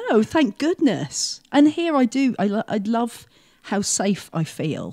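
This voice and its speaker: Speaking at a very slow pace, a woman has a fairly high pitch with very wide pitch swings and a dark, mellow tone. The sound is dry and close, with no echo. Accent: British. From England. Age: 50s. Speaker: mental health program coordinator. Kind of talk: interview.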